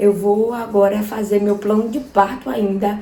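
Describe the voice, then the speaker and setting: A woman speaks at medium pitch in a monotone, flat intonation. Audible room echo surrounds her voice. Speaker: vlogger. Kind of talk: personal vlog.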